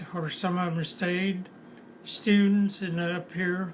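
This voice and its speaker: In an Appalachian accent, a man speaks at a very slow pace. His voice is high and monotone, flat in intonation. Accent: Appalachian Kentucky. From eastern Kentucky, USA. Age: 90s. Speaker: retired auto factory worker. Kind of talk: interview answer.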